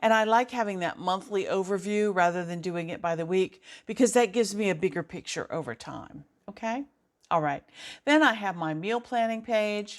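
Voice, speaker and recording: The recording is very clean, with a silent background. The speaker talks at a moderate pace with ordinary pitch variation. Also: woman, medium pitch for a woman. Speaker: planner tutorial youtuber, retired teacher. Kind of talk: tutorial.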